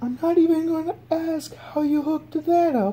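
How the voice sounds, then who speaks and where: A cartoonish character voice pitched high. The pace is moderate. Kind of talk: cartoon voice acting. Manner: nervous, weary, skeptical.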